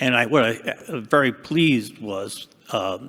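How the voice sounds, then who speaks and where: A man speaks with a Boston accent. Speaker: retired dam safety engineer, past association president. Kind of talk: panel discussion.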